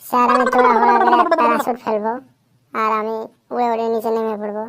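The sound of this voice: A woman's cartoonish character voice, fairly high in pitch, at a moderate pace with fairly even intonation.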